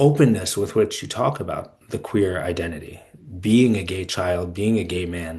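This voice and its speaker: Against a quiet background, a man speaks in an ordinary speaking voice. He keeps a moderate pace and ordinary pitch variation. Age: 40s. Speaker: podcast host and fellow. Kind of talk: podcast interview.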